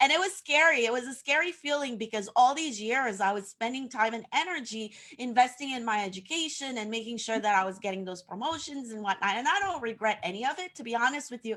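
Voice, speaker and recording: Very fast and with hardly any pauses, a woman talks at a high pitch. Background noise is noticeable. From Haiti. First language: French. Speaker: social media coach. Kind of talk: casual interview on livestream. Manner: some hesitations and fillers.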